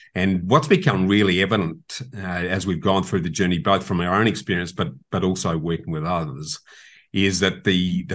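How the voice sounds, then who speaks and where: Over a quiet background, a man with an Australian accent speaks in a very deep, low pitch. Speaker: property investment expert and podcast host. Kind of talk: casual interview. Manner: passionate.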